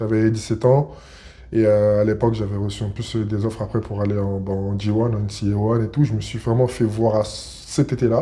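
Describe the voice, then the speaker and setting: A man speaks at a fairly low pitch with a dark, mellow tone. His somewhat breathy delivery stays in monotone, flat intonation. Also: fairly quick pace. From Paris region, France. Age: 30s. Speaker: basketball player. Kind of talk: interview. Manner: hesitant, many fillers.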